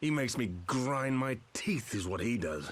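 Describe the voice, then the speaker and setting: In a put-on character voice, a man growls at a medium pitch and moderate pace, his intonation lively and his loudness very even. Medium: video game. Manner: blunt, gruff.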